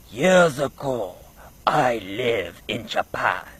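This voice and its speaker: A man performs in a put-on character voice. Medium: solo performance. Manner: slow, measured storytelling.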